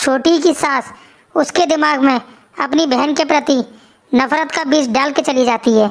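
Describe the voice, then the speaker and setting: A woman performs a cartoonish character voice. Her pitch sits high. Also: moderate pace. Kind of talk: storytelling narration.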